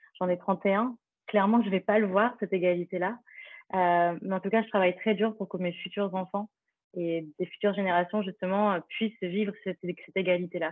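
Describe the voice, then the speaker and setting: This woman's medium-pitched voice moves at a moderate pace with monotone, flat intonation. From France, eastern Paris. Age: 30s. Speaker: nonprofit founder. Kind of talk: interview. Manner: hesitant, many fillers.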